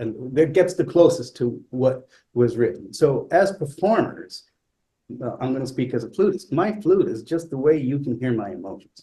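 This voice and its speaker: At a moderate pace, the voice sounds somewhat breathy, with a dark, mellow tone and lively intonation. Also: man, fairly high pitch for a man. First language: not English. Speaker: classical flutist. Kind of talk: talk. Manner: halting, repeats words.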